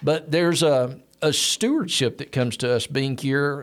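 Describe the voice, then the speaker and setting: This man speaks with a Southern US accent. His pitch is fairly high, with ordinary variation. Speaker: church podcast host. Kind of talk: casual interview. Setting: studio.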